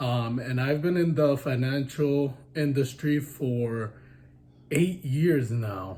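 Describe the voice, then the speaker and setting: Somewhat breathy and with a dark, mellow tone, a man with a fairly high pitch speaks at a very slow pace. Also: ordinary pitch variation. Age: 20s. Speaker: credit union manager, vlogger. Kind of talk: casual chat.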